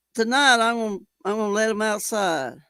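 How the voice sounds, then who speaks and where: On a very clean recording with a silent background, a woman with a Texan accent speaks in a bright, sharp tone. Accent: Texan Southern US. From Texas. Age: 70s. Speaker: live streamer. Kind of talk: casual chat. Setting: live stream. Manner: halting.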